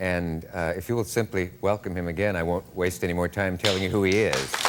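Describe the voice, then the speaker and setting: Background noise is noticeable behind this man. He talks at a fairly quick pace with a very deep, low pitch. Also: fairly even intonation. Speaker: talk show host. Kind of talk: TV talk show interview.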